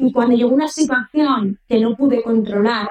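A woman with an unremarkable speaking voice talks at a fairly slow pace, her intonation fairly even. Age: 30s. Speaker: influencer. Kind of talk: testimony.

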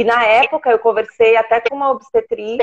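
A woman talks at a moderate pace in a high voice with ordinary pitch variation. The sound is dry and close with no echo. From São Paulo, Brazil. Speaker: doula trying to conceive. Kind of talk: live Q&A call-in.

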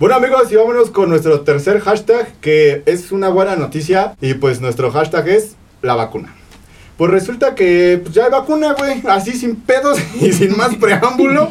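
Speaking at a moderate pace with a Mexican accent, a man uses a high pitch with very wide pitch swings. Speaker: podcast co-host. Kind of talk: casual chat.

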